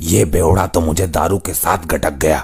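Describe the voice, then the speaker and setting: A man puts on a cartoonish character voice, raspy and very deep and low in pitch. He keeps a moderate pace over clear background noise. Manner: scheming, muttering to self.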